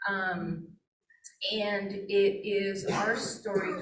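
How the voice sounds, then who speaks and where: There is audible room echo around this woman, whose pitch sits in the medium range. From Flathead Indian Reservation, Montana. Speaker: wildlife biologist. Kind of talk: presentation. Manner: casual with frequent fillers.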